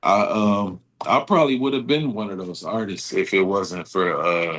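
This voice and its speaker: A man with an American accent has a normal speaking voice and a fairly low pitch. His pitch varies in an ordinary way over a quiet background. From Texas, Houston. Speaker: rapper. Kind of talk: casual chat. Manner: casual, filler-heavy.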